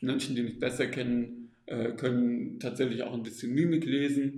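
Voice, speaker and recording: There is audible room echo around this man's dark, mellow tone. His pitch is medium and his intonation fairly even. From Stuttgart area, southern Germany. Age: 20s. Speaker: psychologist in psychotherapy training. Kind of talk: interview. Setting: recorded live at a self-help event. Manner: hesitant, many fillers.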